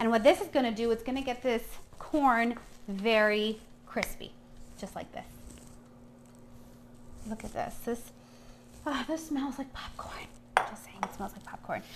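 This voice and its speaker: A woman at a moderate pace with long, frequent pauses, ordinary pitch variation and big swings in loudness over light background noise. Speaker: chef host. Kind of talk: cooking tutorial. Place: kitchen. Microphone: camera far.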